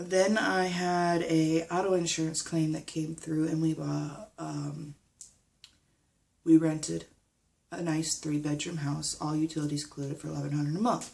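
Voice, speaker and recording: A woman speaks in a very deep, low voice at a moderate pace. Her intonation is fairly even. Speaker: vlogger. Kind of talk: personal vlog update. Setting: recording at home. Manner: halting.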